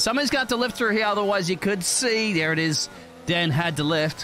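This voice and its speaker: A high-pitched man at a fairly quick pace, lively in intonation, over noticeable background noise. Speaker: esports race commentator. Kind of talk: live race commentary, co-commentator analysis. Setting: recorded commentary over race footage. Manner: excitable, rapid-fire, punchy.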